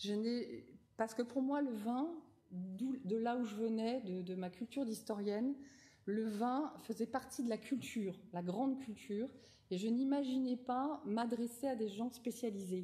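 This woman's fairly high voice has a dark, mellow tone, ordinary pitch variation and a fairly slow pace. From France, Nouvelle-Aquitaine (Rochefort); Nouvelle-Aquitaine, France. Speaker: wine journalist and winemaker; wine journalist. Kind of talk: lecture. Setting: lecture hall with audience. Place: hall. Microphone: podium.

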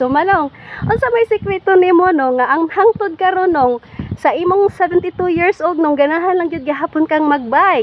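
This woman's voice has an extremely high pitch. She talks at a moderate pace over light background noise. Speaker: vlogger interviewer. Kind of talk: casual vlog interview questions. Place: garden. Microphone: phone near.

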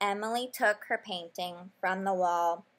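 This is an unforced reading voice. The words are read out in it.

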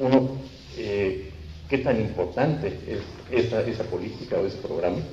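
The man's voice carries ordinary pitch variation. There is audible room echo and light background noise. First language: Spanish. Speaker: seminar panelist; panelist. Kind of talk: panel discussion. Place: meeting room. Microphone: handheld.

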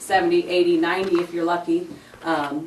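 Audible room echo and noticeable background noise surround a woman speaking at a moderate pace with ordinary pitch variation. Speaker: community presenter. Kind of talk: public presentation at council meeting. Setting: city council meeting. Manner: many filler ums.

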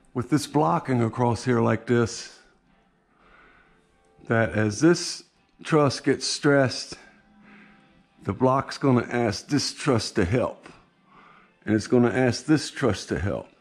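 A man's very slow speech with long, frequent pauses and faint music in the background. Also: ordinary pitch variation. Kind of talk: casual vlog chat. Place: garage. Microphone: phone near.

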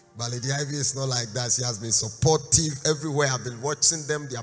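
This man's intonation is fairly even. Faint music can be heard behind him. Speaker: guest preacher. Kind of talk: sermon. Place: church. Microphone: handheld.

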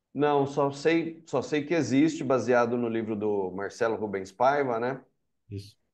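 A man with a normal speaking voice talks at a fairly slow pace. His pitch is medium, with ordinary pitch variation. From Americana, interior of São Paulo state, Brazil. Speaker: novelist and journalist. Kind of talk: interview.

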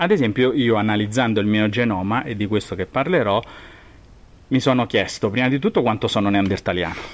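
A man with a plain, everyday voice talks at a fairly quick pace, with a fairly low pitch and ordinary pitch variation. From Rome, central Italy. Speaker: genetics professor. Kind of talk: expert interview explanation. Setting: recorded in person at his university department.

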